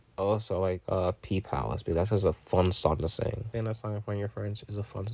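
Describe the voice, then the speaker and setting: A man talks at a fairly quick pace in a fairly low pitch with flat, monotone intonation. His tone is dark and mellow, and somewhat breathy. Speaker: music reviewer. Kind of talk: album review. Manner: casual.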